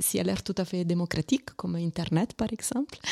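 A woman with an Italian accent in a dry, close sound with no echo. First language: Italian (speaking French). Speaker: arts organisation member. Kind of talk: interview. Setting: live radio broadcast at exhibition venue. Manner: halting.

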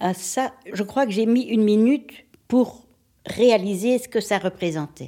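A woman's dark, mellow voice at a very slow pace. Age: old. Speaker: older woman interviewed about aging. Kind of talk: documentary interview.

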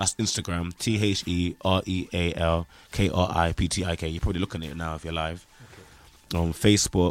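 In a very clean recording with a silent background, a man with a very deep, low voice speaks at a fairly quick pace in a flat monotone. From Nottingham, England. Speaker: grime MC. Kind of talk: casual interview. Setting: radio studio. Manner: halting, repeats words.

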